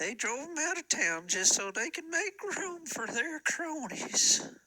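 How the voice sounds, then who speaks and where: A man in a put-on character voice, pitched extremely high, delivered at a fairly slow pace. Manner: halting, rambling.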